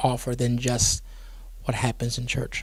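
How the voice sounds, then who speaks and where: A man speaks in a Geechee accent at a medium pitch. His voice is somewhat breathy, and his pace is moderate. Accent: Geechee speech. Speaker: pastor. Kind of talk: interview. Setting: studio.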